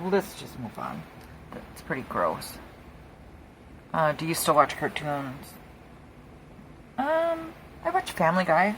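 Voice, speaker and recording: Speaking fairly slowly with an American accent, this voice leaves long, frequent pauses and swings widely in loudness over noticeable background noise. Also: woman. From Wisconsin. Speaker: craft youtuber. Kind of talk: casual chat while crafting. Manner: quieter than usual. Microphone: close to microphone, quiet.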